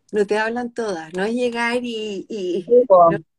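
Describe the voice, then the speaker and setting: A woman speaks with a Chilean accent. Her pitch sits fairly high. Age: 50s. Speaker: live stream host. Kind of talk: casual interview chat.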